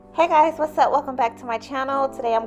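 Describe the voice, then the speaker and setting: With music playing behind her, a woman talks using ordinary pitch variation. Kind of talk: casual hair tutorial talk.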